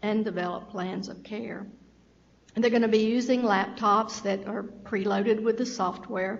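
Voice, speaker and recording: In a Southern US accent, a woman speaks with monotone, flat intonation amid audible room echo. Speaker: state health program official. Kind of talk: meeting presentation.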